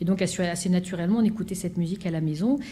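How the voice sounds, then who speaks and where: Audible room echo surrounds a woman's somewhat breathy voice with a dark, mellow tone and fairly low pitch. She talks at a very fast pace with fairly even intonation. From France, Seine-Saint-Denis (Pantin). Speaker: orchestra conductor. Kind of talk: conference talk. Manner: halting, many fillers.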